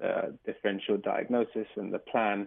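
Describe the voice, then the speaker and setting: Fairly low-pitched man with an English accent, at a fairly quick pace and in a monotone, flat intonation. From England. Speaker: doctor. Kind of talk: radio interview.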